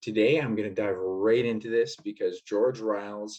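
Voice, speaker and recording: This is a man with a medium pitch and ordinary pitch variation. He has an unremarkable speaking voice. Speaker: podcast host. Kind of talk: podcast intro.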